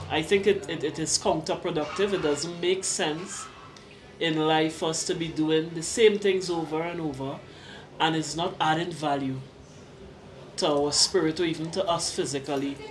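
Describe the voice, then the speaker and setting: A woman with a fairly low pitch talks at a moderate pace with fairly even intonation, and the room echo is audible. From Trinidad, Diego Martin. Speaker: visitor from the Caribbean. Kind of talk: casual interview. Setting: restaurant.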